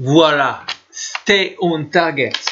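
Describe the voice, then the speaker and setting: A man speaks with a French accent. Audible room echo surrounds his voice. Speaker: teacher. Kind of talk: lecture. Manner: halting, many fillers.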